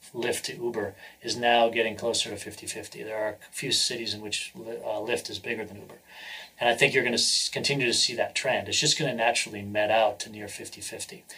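Speaking with an American accent at medium pitch, a man keeps a fairly quick pace. His loudness swings widely, and background noise is noticeable. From New Hampshire, US. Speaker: venture capitalist and entrepreneur. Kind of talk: interview.

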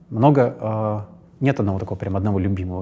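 With a dark, mellow tone, a man talks at a fairly quick pace. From Russia, St. Petersburg. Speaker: actor. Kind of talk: interview. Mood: calm, reflective. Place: studio. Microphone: lapel.

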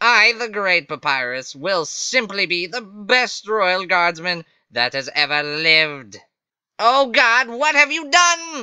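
A man puts on a character voice at a high pitch, speaking at a fairly slow pace with very wide pitch swings. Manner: exasperated; loud, boastful, theatrical.

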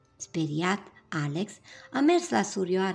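This is a natural reading voice. Nothing more stands out.

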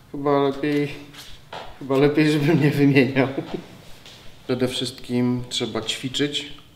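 With audible room echo and light background noise, a man with a fairly high pitch speaks at a very slow pace in a monotone, flat intonation, leaving long, frequent pauses. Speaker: musician and music producer; interviewee. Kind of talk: interview answers; interview answer. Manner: halting.

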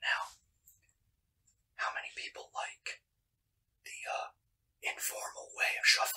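A man whispers at a fairly slow pace, with long pauses coming often. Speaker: ASMR creator. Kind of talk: ASMR whispering. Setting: home, indoors. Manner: whispered. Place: home room.

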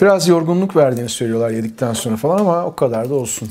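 A man at a fairly quick pace, with light background noise. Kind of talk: casual vlog chat. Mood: relaxed, cheerful. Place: kitchen.

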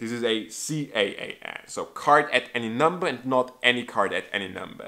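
A man's bright, sharp voice with a non-native accent, at a fairly slow pace against a quiet background. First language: not English. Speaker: magic trick reviewer. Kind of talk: product review. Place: home room.

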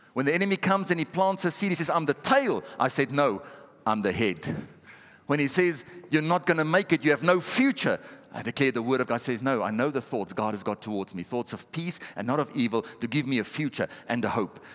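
A man talks in an animated tone at a fairly quick pace. His pitch swings very widely. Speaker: pastor. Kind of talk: sermon. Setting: church. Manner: animated, exhortative, call-and-response with the congregation. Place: church. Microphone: headset.

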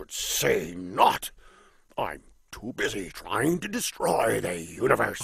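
A man in a cartoonish character voice talks at a fairly slow pace, with big swings in loudness. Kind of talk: animated cartoon villain acting. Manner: grandiose, mock-menacing, whimsical.

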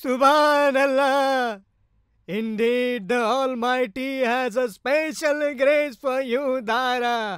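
In a cartoonish character voice at an extremely high pitch, a man speaks very slowly on a very clean recording with a silent background. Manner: ecstatic, exclaiming.

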